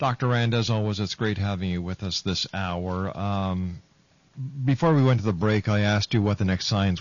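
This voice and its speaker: An ordinary speaking voice from a man, pitched fairly low, its pitch variation ordinary. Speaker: radio host. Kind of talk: radio talk show interview.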